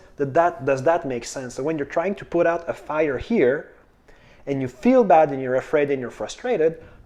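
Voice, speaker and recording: A man with a French accent talks at a moderate pace in a dark, mellow tone. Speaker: manifestation coach. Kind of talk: casual video talk. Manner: halting, with repetitions and fillers.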